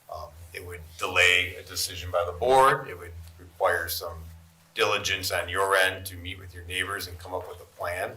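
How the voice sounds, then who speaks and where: Over noticeable background noise and audible room echo, a man talks at a moderate pace with big swings in loudness. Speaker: zoning board member. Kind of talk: board meeting deliberation. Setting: public meeting. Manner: mumbling.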